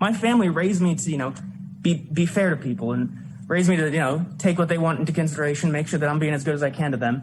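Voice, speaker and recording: A man with an American accent and a high pitch, at a very fast pace, amid noticeable background noise. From Indiana, Lafayette. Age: 20s. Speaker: student giving public comment. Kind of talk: public hearing testimony. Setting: public hearing on a college campus. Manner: halting, many fillers.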